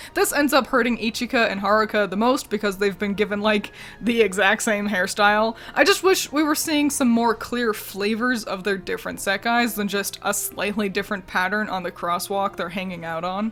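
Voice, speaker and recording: At a moderate pace and with hardly any pauses, a woman talks at medium pitch with ordinary pitch variation. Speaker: video game commentary youtuber. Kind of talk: scripted video commentary. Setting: at home with roommate nearby. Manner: quiet, trying not to disturb.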